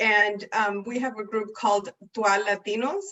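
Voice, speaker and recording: At a moderate pace, a woman with an American accent speaks at a fairly high pitch with fairly even intonation. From Oregon, Salem. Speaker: city community outreach staff. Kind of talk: community announcement.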